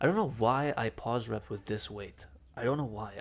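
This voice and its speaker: A man's mumbling at a medium pitch, on a very clean recording with a silent background. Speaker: fitness vlogger. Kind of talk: casual voiceover commentary on workout footage. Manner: mumbling, hesitant with fillers.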